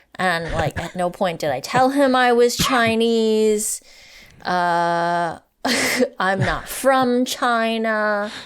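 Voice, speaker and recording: A woman speaks very slowly. Her fairly high voice has lively intonation. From Canada, Vancouver area (BC). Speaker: professor and author. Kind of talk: interview conversation. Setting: podcast recording.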